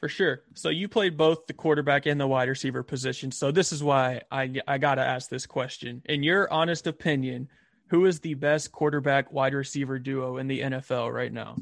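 A man with a Southern US accent, fairly high pitch and fairly even intonation, at a moderate pace with hardly any pauses. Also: quiet background. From US South, Albany, Georgia. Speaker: podcast host. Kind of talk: casual interview.

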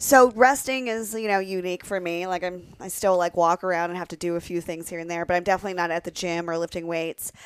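In an American accent, a woman rattles along at a very fast pace with hardly any pauses, a fairly low pitch and ordinary pitch variation, the sound dry and close with no echo. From Pennsylvania. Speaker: adult performer. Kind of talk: casual chat.

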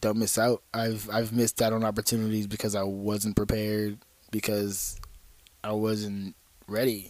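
A man's fairly low voice with an American accent, monotone and flat in intonation, at a moderate pace. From Fontana, Southern California. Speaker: stripper and sex worker. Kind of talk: casual interview chat.

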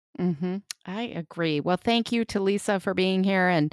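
A woman with a Chicago accent speaks with lively intonation in a dry, close sound with no echo, on a very clean recording with a silent background. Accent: Chicago Midwestern American. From Chicago, US Midwest. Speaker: podcast co-host. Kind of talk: casual interview.

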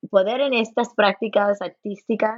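This woman's voice sits fairly high. She talks fairly slowly. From Los Angeles, US, Cuban and Puerto Rican parents. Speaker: folklore professor. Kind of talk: interview. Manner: halting, many repeated words; code-switching into English.

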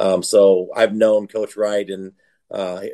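An American accent comes through in a dry, close sound with no echo. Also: man. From Iowa, US Midwest. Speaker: college football head coach. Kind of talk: casual interview.

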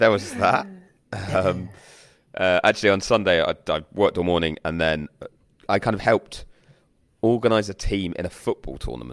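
A raspy man talks at a low pitch with ordinary pitch variation. His pace is moderate, with long, frequent pauses.

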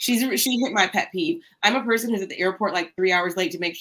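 A woman's plain, everyday voice with an American accent, fairly quick in pace and lively in intonation. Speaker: lawyer and guest co-host. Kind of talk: casual chat. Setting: video call.

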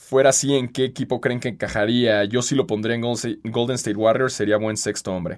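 On a very clean recording with a silent background, a man with a Mexican accent talks at a fairly quick pace in a medium pitch, with fairly even intonation and hardly any pauses. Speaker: podcast host. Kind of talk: casual chat.

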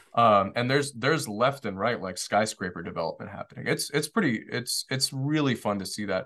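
The voice is bright and sharp, with an American accent and ordinary pitch variation. It moves at a fairly quick pace with hardly any pauses against a quiet background. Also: man, medium pitch for a man. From Detroit, Michigan. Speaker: short-term rental developer and Marine veteran. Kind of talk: casual interview.

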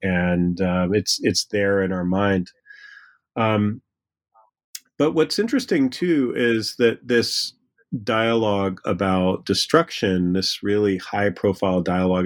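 Fairly low-pitched male voice at a fairly slow pace, ordinary pitch variation, dry and close with no echo. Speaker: history professor. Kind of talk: interview. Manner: halting.

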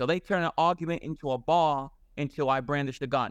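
Speaking in a normal speaking voice at a fairly quick pace, the speaker sounds dry and close with no echo over a quiet background. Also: man. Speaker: ex-convict guest. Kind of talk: casual chat. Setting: video call.

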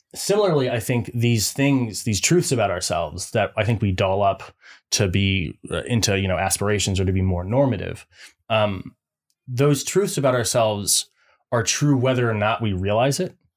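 In a very clean recording with a silent background, a man with a normal speaking voice talks at a moderate pace with lively intonation. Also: medium pitch for a man. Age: 20s. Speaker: podcast co-host. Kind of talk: casual chat. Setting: home studio, streamed live.

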